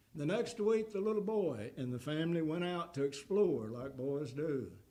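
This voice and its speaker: A man talks fairly slowly, his pitch swinging very widely. Room echo is audible. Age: 80s+. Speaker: guest preacher, former pastor. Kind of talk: sermon; closing remarks to congregation. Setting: church.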